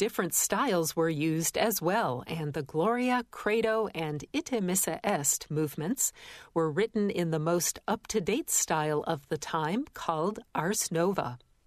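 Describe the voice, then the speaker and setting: With an ordinary speaking voice, a woman of fairly low pitch uses lively intonation at a fairly slow pace with hardly any pauses, recorded very cleanly over a silent background. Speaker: radio host. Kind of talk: radio announcer presenting a classical music program, scripted and informative. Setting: studio. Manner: measured, formal, calm and polished; clear, even-paced, with a warm educational tone.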